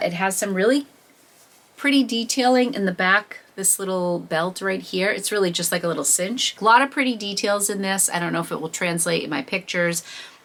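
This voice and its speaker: A woman speaks at medium pitch. Her intonation is lively. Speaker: reseller and thrift vlogger. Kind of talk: haul video monologue.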